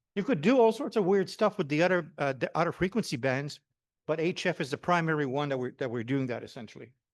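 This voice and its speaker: Against a quiet background, a man with a Quebec accent and fairly high pitch speaks at a very fast pace with lively intonation. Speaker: amateur radio operator and HF systems engineer. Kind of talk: technical presentation. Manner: loud.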